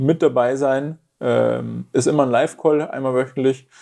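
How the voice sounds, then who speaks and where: A man speaks at a medium pitch in a flat monotone, his tone dark and mellow, on a very clean recording with a silent background. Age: 20s. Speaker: fitness coach and pain therapist. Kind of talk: interview.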